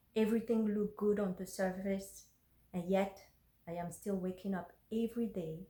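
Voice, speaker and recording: A woman's medium-pitched, somewhat breathy voice with a dark, mellow tone, fairly even intonation and a moderate pace. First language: French and Fon. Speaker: blogger. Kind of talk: reading aloud. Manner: halting.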